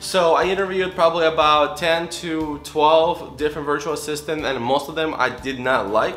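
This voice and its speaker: Hardly pausing, a man talks at a moderate pace with a fairly high pitch and fairly even intonation over music in the background. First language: not English. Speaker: real estate wholesaler vlogger. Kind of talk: casual vlog.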